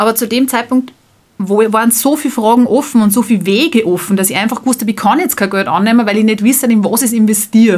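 A woman in a Salzburg accent, somewhat breathy, fairly high in pitch, very fast, with ordinary pitch variation. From Austria, Salzburg. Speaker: startup founder. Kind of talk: interview.

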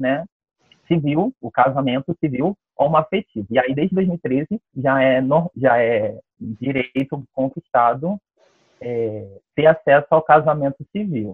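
This man talks at a very slow pace with a fairly high pitch. His pitch varies in an ordinary way. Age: 20s. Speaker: dance teacher. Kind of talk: interview. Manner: halting.

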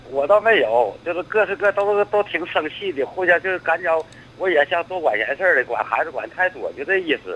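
Over noticeable background noise, a man talks at a fairly quick pace. His pitch is high, with ordinary variation. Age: 60s. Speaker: retired civil servant. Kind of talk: phone-in call. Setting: phone call. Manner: stammering.

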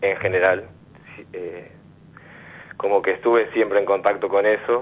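A man talks at a fairly slow pace. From Argentina, Buenos Aires area (Quilmes). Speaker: caller. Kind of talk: phone-in counselling conversation.

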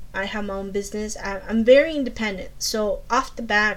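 Pitched fairly high, a woman talks at a moderate pace with audible room echo. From Colombia. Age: 40s. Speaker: podcast host. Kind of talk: advice podcast monologue. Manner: halting, many fillers.

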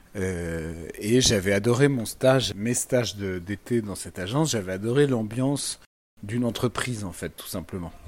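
In a normal speaking voice, a man with a fairly low pitch and ordinary pitch variation talks at a fairly slow pace with big swings in loudness. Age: 30s. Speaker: lawyer and political commentator. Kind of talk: interview.

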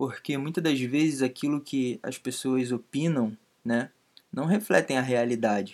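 A man's medium-pitched, fairly slow delivery with ordinary pitch variation, an ordinary speaking voice. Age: 20s. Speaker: podcast co-host. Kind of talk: casual chat.

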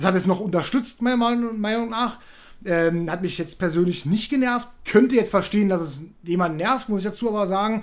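A man's high-pitched voice at a moderate pace with ordinary pitch variation. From Berlin. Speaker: film podcast host. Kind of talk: casual chat.

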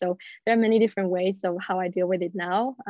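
With a Swedish accent, the speaker races along at a very fast pace in a monotone, flat intonation. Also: woman. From Sweden, Gothenburg. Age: 20s. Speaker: professional golfer. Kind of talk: casual interview.

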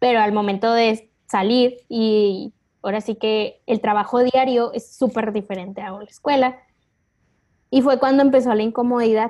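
A woman's fairly high voice with fairly even intonation, an ordinary speaking voice. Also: moderate pace. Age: 20s. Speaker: marketing assistant. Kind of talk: interview.

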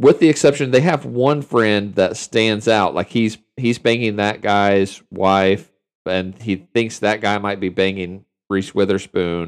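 In a plain, everyday voice, a man speaks at a fairly slow pace and a fairly low pitch. His pitch varies in an ordinary way, and the background is quiet. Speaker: podcast host. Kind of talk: casual banter. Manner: joking, irreverent.

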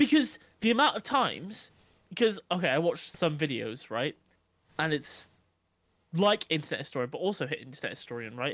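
Talking at a fairly quick pace with long, frequent pauses, a man uses a fairly high pitch that swings very widely. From England, Nottingham. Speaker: podcast co-host. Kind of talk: casual chat. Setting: remote recording.

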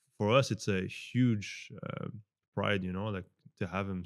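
A man with a French Canadian accent, fairly low in pitch, at a moderate pace. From Montreal, Canada. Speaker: celebrity fitness coach. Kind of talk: casual interview conversation. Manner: conversational, hesitant with fillers.

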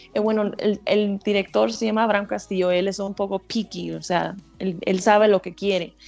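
A woman talks at a medium pitch and a moderate pace, her intonation monotone and flat. Music plays in the background. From Texas. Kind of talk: radio interview. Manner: halting, with repeated words and fillers.

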